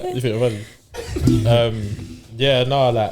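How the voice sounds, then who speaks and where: A man with a London accent speaks at medium pitch with fairly even intonation. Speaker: podcast guest. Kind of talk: casual chat.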